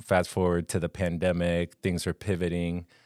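A man with a very deep, low pitch and a slight Colombian accent at a moderate pace, in a very clean recording with a silent background and a dry, close sound with no echo. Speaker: wilderness therapy guide. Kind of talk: casual chat. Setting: studio.

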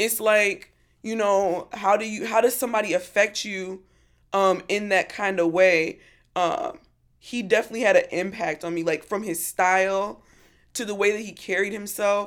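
Heard over a silent background in a very clean recording, the speaker has an animated tone, a moderate pace and ordinary pitch variation. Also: woman, medium pitch for a woman. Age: 30s. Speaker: podcast co-host. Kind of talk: casual chat.

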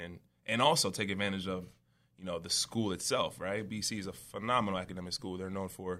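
A man speaks very fast with a New York accent. His very deep, low voice keeps a fairly even intonation. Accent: New York American English. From US Northeast, Long Island, New York. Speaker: former football player. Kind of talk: interview.

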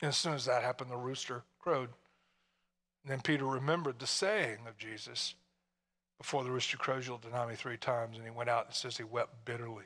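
The voice has a bright, sharp tone and fairly even intonation, moving at a very fast pace. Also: man, medium pitch for a man. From Tennessee, US South. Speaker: pastor. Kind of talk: sermon. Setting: church. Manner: informal, halting, repeats words.

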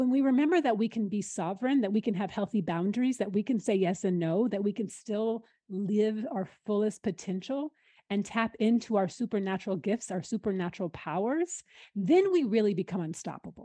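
Somewhat breathy and dark, mellow in tone, a woman speaks at a medium pitch and a fairly quick pace with ordinary pitch variation, the sound dry and close with no echo over a quiet background. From US Pacific Northwest, Seattle. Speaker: spiritual mentor. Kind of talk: casual interview chat.

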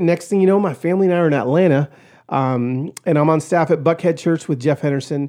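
With an American accent, a man speaks very fast at a high pitch with ordinary pitch variation. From East Los Angeles, California. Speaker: pastor and author. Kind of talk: casual interview, personal testimony. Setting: studio.

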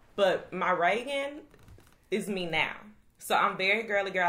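The room echo is audible as a woman speaks at medium pitch. Her tone comes across bright and sharp. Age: 20s. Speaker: teacher. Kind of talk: casual chat.

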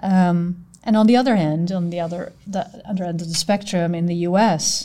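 A woman with a Dutch accent sounds somewhat breathy, her tone dark and mellow and her pitch variation ordinary. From Netherlands. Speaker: audit partner. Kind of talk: podcast conversation.

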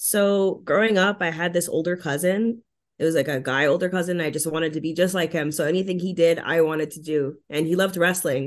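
A woman with a Montreal accent speaks at a fairly quick pace with hardly any pauses, her pitch fairly low and her intonation fairly even. The background is quiet. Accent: Montreal anglophone Canadian English. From Montreal, Quebec (anglophone). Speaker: professional wrestler. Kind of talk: interview.

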